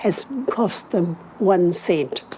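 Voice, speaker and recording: Over noticeable background noise, a woman speaks with lively intonation in a New Zealand accent. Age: 80s+. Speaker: school gardening volunteer. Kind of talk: casual chat.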